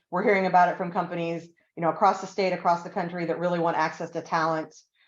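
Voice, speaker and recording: Against a quiet background, a woman speaks in a fairly low pitch with flat, monotone intonation. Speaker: university corporate relations director. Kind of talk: webinar Q&A. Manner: fast.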